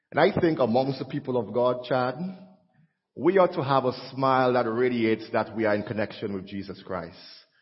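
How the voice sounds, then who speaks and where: Somewhat breathy, a man speaks at a fairly quick pace and medium pitch with ordinary pitch variation. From Caribbean. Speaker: visiting preacher. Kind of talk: sermon. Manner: animated.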